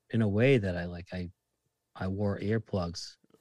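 With a Boston accent, the speaker talks at a moderate pace with fairly even intonation, in a very clean recording that has a dry, close sound with no echo and a silent background. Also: man. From Massachusetts, Lynn (Boston area). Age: 30s. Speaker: bartender. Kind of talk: casual chat.

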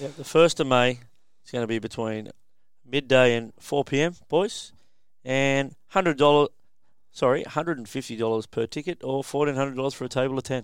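Fairly slow and at a medium pitch, a man with an Australian accent speaks with ordinary pitch variation. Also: very clean recording, silent background. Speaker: podcast host. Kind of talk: casual chat. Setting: studio.

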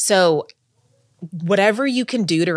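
Recorded very cleanly over a silent background, a woman with an American accent speaks at a fairly low pitch with very wide pitch swings. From Texas. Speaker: writer on sober sex and dating. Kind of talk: casual interview chat. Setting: in-person studio recording.

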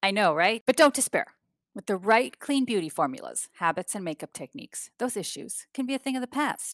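A woman speaks at a fairly quick pace with a fairly high pitch and vocal fry. Her pitch swings very widely and her loudness rises and falls sharply. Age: 60s. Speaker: podcast co-host and beauty business owner. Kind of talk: interview conversation. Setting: video call.

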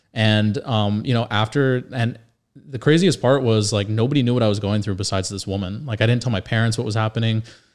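Heard on a very clean recording with a silent background, a man with a plain, everyday voice talks fairly quickly at a medium pitch and fairly even intonation. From Northern Virginia, rural. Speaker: podcast co-host, mortgage broker. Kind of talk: casual chat.

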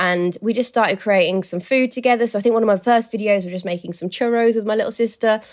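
A woman with a fairly high pitch talks very fast, with hardly any pauses. Her intonation stays fairly even against a quiet background. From Birmingham, English Midlands. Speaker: home cook and food video creator. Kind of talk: casual interview chat.

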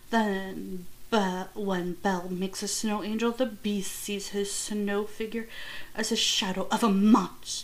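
Monotone, flat intonation with audible room echo. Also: woman, medium pitch for a woman, fairly slow pace. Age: 20s. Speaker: podcast host. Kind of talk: reading aloud. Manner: reads with frequent stumbles.

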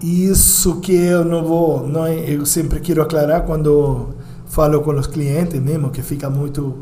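Amid noticeable background noise and audible room echo, a man with a Uruguayan accent speaks in a flat monotone at a fairly high pitch. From Uruguay, Montevideo. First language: Spanish (speaking Portuguese). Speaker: restaurant owner. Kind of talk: interview.

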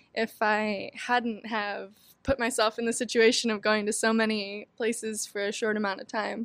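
Her delivery is monotone and flat at a moderate pace, captured on a very clean recording with a silent background. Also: fairly high pitch for a woman. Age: 20s. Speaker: record-holding traveler. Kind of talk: interview conversation.

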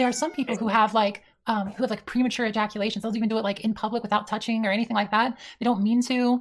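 A somewhat breathy woman's voice, fairly high in pitch, at a very fast pace with fairly even intonation, on a very clean recording with a silent background. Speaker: online debater. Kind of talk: heated debate.

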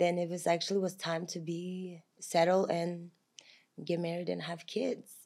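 Someone speaks at a moderate pace in a Russian accent. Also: woman. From Kazakhstan. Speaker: momager. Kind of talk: casual chat. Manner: animated.

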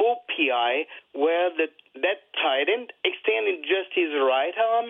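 A man with a French accent, high-pitched, at a very slow pace. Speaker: caller. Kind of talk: call-in question to sports show. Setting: phone call. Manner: halting.

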